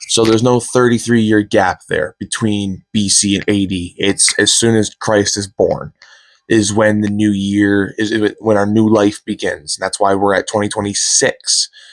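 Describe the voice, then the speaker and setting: A man's fairly low, monotone voice at a moderate pace, with flat intonation and a dry, close sound free of echo. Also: very clean recording, silent background. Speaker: podcast host. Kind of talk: casual solo podcast monologue. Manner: halting, many fillers and restarts.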